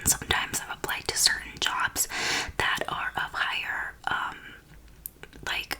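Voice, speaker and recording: A woman is whispering. Background noise is noticeable behind her. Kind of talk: ASMR get-ready-with-me whispering and life update. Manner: whispered, soft-spoken.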